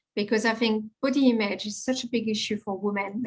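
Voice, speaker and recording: In a French accent, a woman speaks at a fairly quick pace with a fairly high pitch and fairly even intonation. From France. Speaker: confidence coach and personal stylist. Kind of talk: podcast interview.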